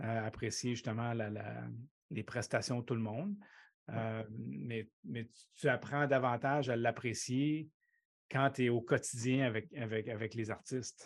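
A man speaks at medium pitch and a fairly slow pace, with ordinary pitch variation and an unremarkable speaking voice. The recording is very clean, with a silent background. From Quebec City, Limoilou. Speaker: baseball coach and professor. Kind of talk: casual interview.

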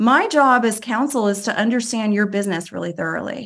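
A woman talks at a very fast pace on a very clean recording with a silent background. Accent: American. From US, Cuban American family. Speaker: restaurant investment firm CEO. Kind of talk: interview.

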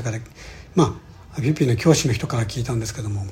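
A man talks with a dark, mellow tone. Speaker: podcast host, real estate investor. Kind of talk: solo podcast monologue. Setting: alone in a room abroad. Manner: halting, many fillers.

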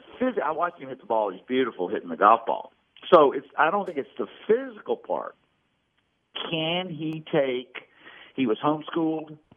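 A man talks at a moderate pace in a fairly high pitch. His pitch swings very widely and his loudness shifts a lot. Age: 70s. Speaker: former pro golfer and college golf coach. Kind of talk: casual interview chat. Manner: self-deprecating, joking.

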